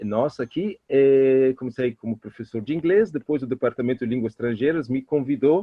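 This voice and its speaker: This man speaks with an Italian accent. His pitch is medium, with ordinary variation. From Italy, Trieste. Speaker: professor and Italian culture expert. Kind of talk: interview. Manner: halting.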